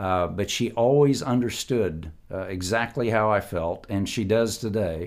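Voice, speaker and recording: A man with an American accent, fairly low in pitch, at a fairly slow pace with hardly any pauses and ordinary pitch variation, on a very clean recording with a silent background. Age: 60s. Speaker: kidney transplant patient. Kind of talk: interview. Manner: halting, many fillers.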